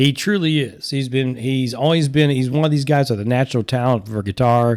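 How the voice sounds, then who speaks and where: A normal speaking voice with ordinary pitch variation moves at a moderate pace in a very clean recording with a silent background. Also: man. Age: 60s. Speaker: podcast host and musician. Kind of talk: casual podcast talk.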